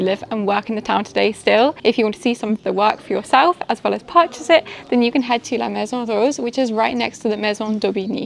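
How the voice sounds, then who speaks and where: Over noticeable background noise, a woman talks at a fairly high pitch with ordinary pitch variation. She goes at a very fast pace with hardly any pauses. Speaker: travel vlogger. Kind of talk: travel video narration.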